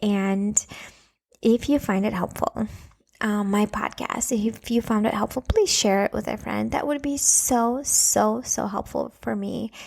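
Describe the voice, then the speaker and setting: Using an ordinary speaking voice, a woman with an American accent talks at a fairly slow pace. Her fairly high pitch moves with ordinary variation. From Latvia, then Minnesota from age nine. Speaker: podcaster, parenting coach for moms. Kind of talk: casual monologue podcast. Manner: chatty, filler-heavy.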